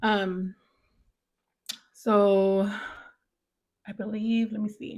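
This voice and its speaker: The speaker is a woman with an American accent. Her recording is very clean, with a silent background. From US, brought from Mexico as baby. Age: 30s. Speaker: podcast host. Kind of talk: personal storytelling monologue. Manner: casual, halting with fillers.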